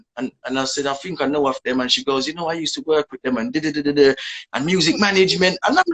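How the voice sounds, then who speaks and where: A man with a Jamaican accent talks at a very fast pace. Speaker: dancehall artist. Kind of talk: casual interview.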